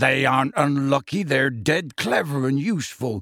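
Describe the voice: The speaker is doing plain reading aloud. Pitch moves in an ordinary way.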